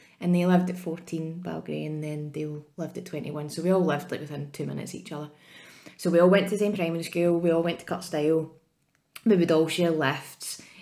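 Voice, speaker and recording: A woman with a Scottish accent talks at a very fast pace in a fairly low, dark, mellow voice, her intonation monotone and flat while her loudness swings widely. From Scotland, Ayrshire. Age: 30s. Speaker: podcast co-host. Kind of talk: casual chat.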